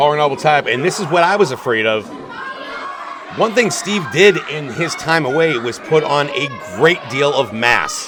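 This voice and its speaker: With an American accent, a man speaks at a moderate pace in a fairly high voice, his tone enthusiastic and his intonation lively. Crowd noise fills the background. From Pittsburgh, USA. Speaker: professional wrestling commentator and performer. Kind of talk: pro wrestling play-by-play commentary. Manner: enthusiastic, analytical, broadcast style.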